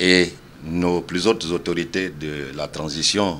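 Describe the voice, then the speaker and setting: This man's voice is very deep and low, with a bright, sharp tone. His intonation stays monotone and flat. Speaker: electoral commission official. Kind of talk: interview. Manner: hesitant, many fillers.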